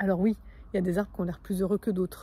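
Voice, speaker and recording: A somewhat breathy female voice of medium pitch, dark and mellow in tone. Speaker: spiritual coach. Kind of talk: vlog monologue. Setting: outdoors in nature. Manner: fast; energetic.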